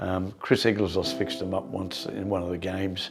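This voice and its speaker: Speaking in an Australian accent, a man with a very deep, low voice keeps his intonation fairly even over noticeable background noise. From Australia, Brisbane (Greek family). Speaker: community elder interviewee. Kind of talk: oral history interview. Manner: hesitant, many fillers.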